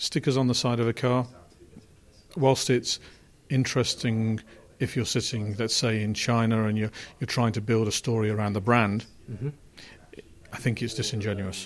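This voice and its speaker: Medium-pitched male voice with an English accent, fairly even intonation, long and frequent pauses, a moderate pace, and a very clean recording with a silent background. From England. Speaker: car company chief executive. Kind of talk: interview.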